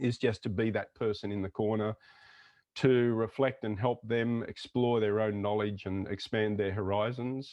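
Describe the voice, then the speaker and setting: In an Australian accent, a man speaks at a moderate pace with a fairly low pitch and a monotone, flat intonation. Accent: typical Australian. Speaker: intercultural consultant. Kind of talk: interview conversation.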